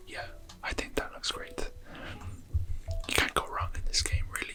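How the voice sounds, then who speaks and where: Whispering in a gentle tone, the speaker is heard over noticeable background noise. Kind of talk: ASMR gameplay narration to help viewers relax and sleep. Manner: whispered, gentle.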